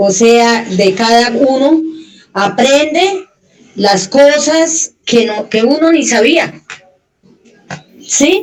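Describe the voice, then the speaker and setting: Her voice is high and her intonation lively. The woman speaks at a very slow pace with long, frequent pauses. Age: 60s. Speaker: conversation host, grandmother. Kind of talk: casual chat.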